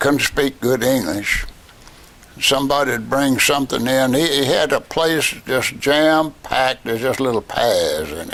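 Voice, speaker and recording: In a Virginia accent, the speaker moves at a fairly slow pace with ordinary pitch variation. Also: man, fairly high pitch for a man. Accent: Southern US (Virginia). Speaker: war veteran. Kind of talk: interview answer. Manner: casual, storytelling.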